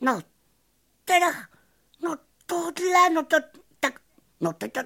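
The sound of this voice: In a put-on character voice, a woman speaks at an extremely high pitch with vocal fry, lively intonation and a bright, sharp tone.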